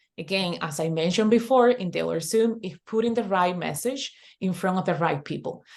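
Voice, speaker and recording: Over a quiet background, a woman with a Spanish accent speaks with lively intonation. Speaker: online business coach. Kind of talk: webinar tutorial. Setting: video call. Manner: halting, repetitive.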